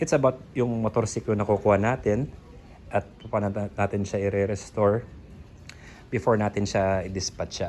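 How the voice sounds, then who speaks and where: At a moderate pace, this man speaks with a fairly low pitch. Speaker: motorcycle restoration vlogger. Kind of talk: casual vlog talk. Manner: monotone; halting.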